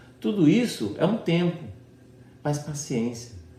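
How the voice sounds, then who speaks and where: A man's fairly high, somewhat breathy voice, very wide pitch swings, a very slow pace and audible room echo. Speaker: pastor. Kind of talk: sermon. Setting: online church service.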